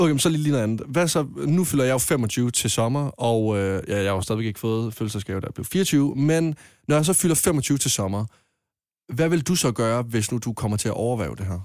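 In a normal speaking voice, a man talks at a moderate pace with lively intonation and a medium pitch, recorded very cleanly against a silent background. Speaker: caller. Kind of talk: casual chat.

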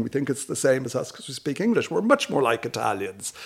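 A man with a Dublin accent talks in a fairly high pitch, heard in a very clean recording over a silent background. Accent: South Dublin Irish. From Dublin, Ireland. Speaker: chief executive. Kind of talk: casual chat.

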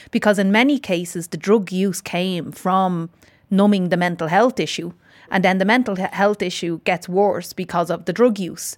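The speaker has an Irish accent and fairly even intonation at a moderate pace. The recording is very clean, with a silent background. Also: woman, medium pitch for a woman. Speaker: podcast host and interviewer. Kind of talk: interview and narration.

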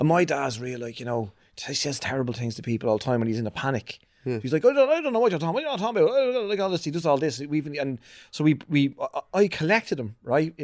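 Delivered at a very fast pace with an Irish accent, the voice swings very widely in pitch. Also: man, fairly high pitch for a man. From Ireland, Ballantyre. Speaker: podcast guest. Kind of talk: casual chat.

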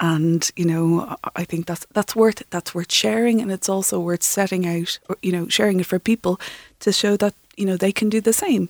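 In a dry, close recording with no echo, a woman speaks with an Irish accent. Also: medium pitch for a woman, ordinary pitch variation, moderate pace. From Ireland, Kildare. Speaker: freediver and breathwork teacher. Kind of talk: interview. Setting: studio.

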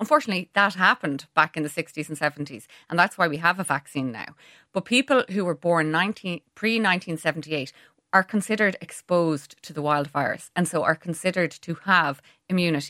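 Speaking very fast with an Irish accent, a woman uses a fairly low pitch with ordinary variation and a bright, sharp tone. The sound is dry and close with no echo, on a very clean recording with a silent background. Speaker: pharmacist. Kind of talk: radio interview.

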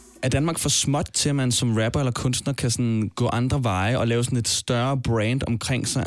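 At a moderate pace and with fairly even intonation, this is an ordinary speaking voice. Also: man. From Denmark. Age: 20s. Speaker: podcast host. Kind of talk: podcast narration and interview.

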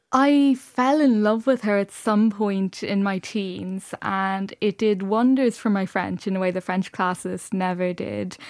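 The speaker talks in a Dublin accent at a fairly slow pace, with hardly any pauses and ordinary pitch variation. The recording is very clean, with a silent background. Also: woman, medium pitch for a woman. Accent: Dublin Irish. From Dublin, Ireland. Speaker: novelist. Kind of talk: radio interview.

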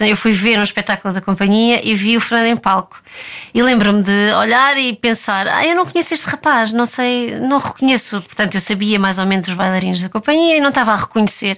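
A woman's fairly high voice with lively intonation, a fairly quick pace and very even loudness, over noticeable background noise. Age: 30s. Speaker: ballet dancer. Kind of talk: interview. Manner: halting.

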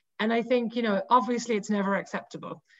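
The speaker talks at a very fast pace in a Cork accent. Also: woman. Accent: Cork Irish. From Ireland, Cork. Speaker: women's rugby website editor. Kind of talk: casual interview.

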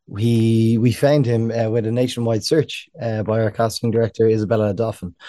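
Against a quiet background, a man with an Irish accent speaks at a moderate pace and a medium pitch. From Ireland. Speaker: film producer. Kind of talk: interview.

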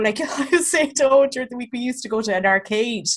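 A woman speaks very fast in a west of Ireland accent. Her pitch is high. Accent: Irish (rural west). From County Clare, Ireland. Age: 30s. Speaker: comedian and podcast co-host. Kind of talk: casual chat.

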